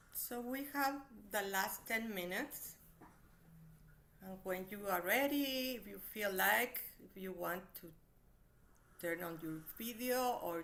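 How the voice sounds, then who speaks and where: Speaking with a non-native accent, a woman uses lively intonation and a medium pitch, with big swings in loudness. Her pace is very slow with long, frequent pauses, and audible room echo surrounds her. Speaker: therapist and meditation teacher. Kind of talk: online workshop talk; guided meditation. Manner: slow, gentle.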